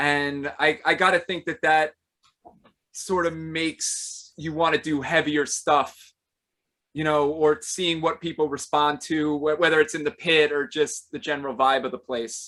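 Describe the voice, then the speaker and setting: A man's loud, bright, sharp voice sits at a fairly high pitch with fairly even intonation. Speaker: podcast host. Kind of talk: casual interview.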